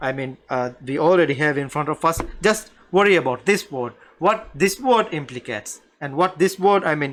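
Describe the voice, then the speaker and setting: A man with a Maldivian accent, lively intonation and a moderate pace. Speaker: Arabic language teacher. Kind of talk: lecture. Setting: live online stream. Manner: halting.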